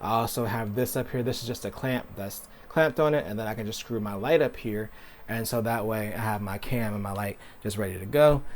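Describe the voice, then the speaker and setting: A man speaks in a plain, everyday voice at a medium pitch with ordinary pitch variation. He keeps a fairly quick pace. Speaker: tech YouTuber. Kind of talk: tutorial. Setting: home office. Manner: casual.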